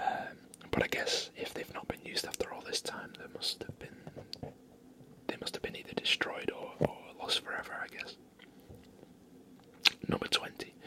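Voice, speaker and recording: Someone whispers in a relaxed tone at a moderate pace, leaving long, frequent pauses over noticeable background noise. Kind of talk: whispered ASMR fun-facts reading. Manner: whispered, relaxed.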